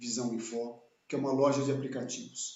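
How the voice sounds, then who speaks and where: A medium-pitched male voice with audible room echo. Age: 60s. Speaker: channel host, engineer. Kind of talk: live video interview. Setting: home office, live stream.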